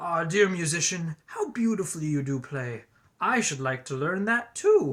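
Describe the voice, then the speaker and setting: This is a put-on character voice at a middle pitch. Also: moderate pace. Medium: read story.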